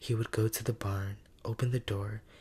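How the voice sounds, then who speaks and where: A man's soft-spoken whisper, somewhat breathy, at a fairly slow pace. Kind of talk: story reading, ASMR bedtime narration. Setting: studio. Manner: whispered, soft-spoken.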